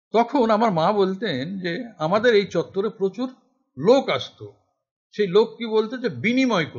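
A man speaks at a high pitch, with big swings in loudness. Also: ordinary pitch variation. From West Bengal, Murshidabad; West Bengal. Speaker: essayist and political activist; guest lecturer. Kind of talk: lecture. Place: hall. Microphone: podium.

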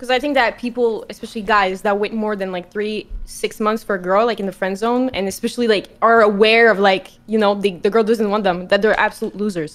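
With a Quebec accent, a woman talks at a fairly quick pace with hardly any pauses, her fairly high voice keeping a fairly even intonation. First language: French. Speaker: streamer. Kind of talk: casual chat. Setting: video call. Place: home room. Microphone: video call.

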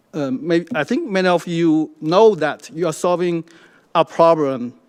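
Speaking with a Chinese accent, a man uses a high pitch and lively intonation at a moderate pace. The recording is very clean with a silent background. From China. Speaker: public commenter. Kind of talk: public comment. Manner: halting, many fillers.

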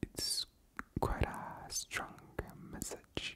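A woman is whispering. Her words come out in a whisper. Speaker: ASMR creator. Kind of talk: ASMR whispered ramble. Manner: whispered, soft. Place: home room. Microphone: studio mic.

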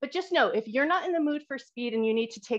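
The clip's background stays quiet. Pitch from the woman varies in an ordinary way. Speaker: fitness instructor. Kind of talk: exercise class instruction. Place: home room. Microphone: video call.

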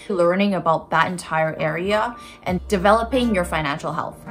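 With faint music in the background, a woman speaks at a fairly low pitch. Her pace is moderate, with ordinary pitch variation. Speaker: lifestyle vlogger. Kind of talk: casual vlog advice. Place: home room. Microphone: phone near.

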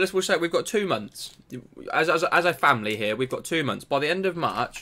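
A high-pitched man's voice at a fairly quick pace, with very wide pitch swings. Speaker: small channel creator. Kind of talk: casual vlog chat. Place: home room. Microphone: webcam.

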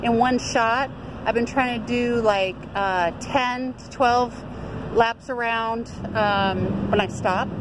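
Ordinary pitch variation over noticeable background noise. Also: woman. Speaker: truck driver vlogger. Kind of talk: casual vlog chat. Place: street.

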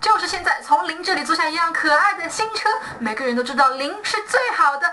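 Shouting in a raised, projected voice, a woman hits an extremely high pitch with very wide swings, talking at a fairly quick pace over noticeable background noise. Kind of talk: shouted shop advertising loop. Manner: shouty, loud.

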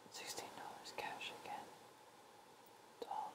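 Whispering, a man speaks at a fairly slow pace. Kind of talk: ASMR gameplay commentary. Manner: whispered.

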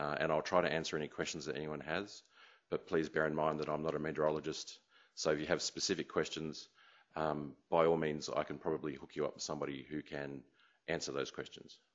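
Very deep, low male voice with an Australian accent, vocal fry, flat monotone intonation and a very fast pace. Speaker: meteorologist, remote sensing scientist. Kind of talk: lecture. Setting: conference room with audience. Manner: halting, many fillers.

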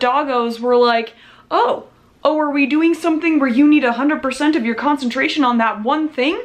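A woman speaks with high pitch at a moderate pace. Her pitch varies in an ordinary way.

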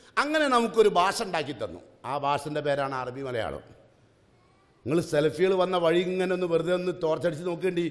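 This man's voice sits high in pitch and carries lively intonation. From Kerala, India. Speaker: Islamic preacher; speaker. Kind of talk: religious class lecture. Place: hall. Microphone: podium.

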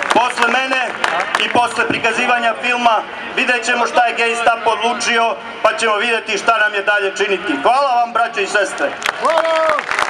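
A man's raised, projected voice at a moderate pace, fairly even in intonation, over loud background noise. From Serbia. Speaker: rally speaker, right-wing movement leader. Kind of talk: rally speech, fiery nationalist oratory to a crowd. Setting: outdoor protest rally, crowd. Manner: loud, rousing, emphatic. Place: street.

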